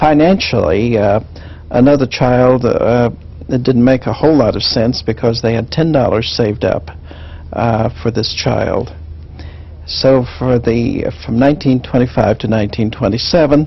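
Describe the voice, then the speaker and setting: Speaking fairly slowly with an American accent, this voice comes over noticeable background noise. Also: man. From Kansas. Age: 50s. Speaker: education professor. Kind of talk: oral history interview. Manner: halting, many fillers.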